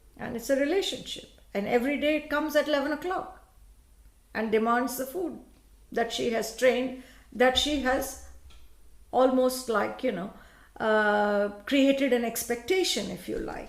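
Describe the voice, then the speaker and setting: In a room with audible echo, a woman with a Tamil accent speaks at a high pitch and a moderate pace, with ordinary pitch variation and long, frequent pauses. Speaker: law professor. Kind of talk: panel talk.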